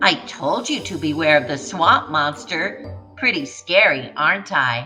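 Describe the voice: A put-on character voice, bright and sharp, at a fairly slow pace with lively intonation and faint music in the background. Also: woman, low pitch for a woman.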